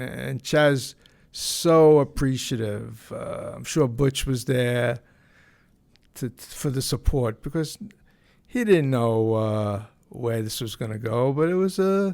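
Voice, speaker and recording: In a New York accent, a man with a dark, mellow tone and medium pitch talks at a fairly slow pace, with lively intonation and big swings in loudness, on a very clean recording with a silent background. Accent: New York (Bronx). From New York, the Bronx. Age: 70s. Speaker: podcast host. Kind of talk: casual monologue. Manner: halting, many fillers and repeats.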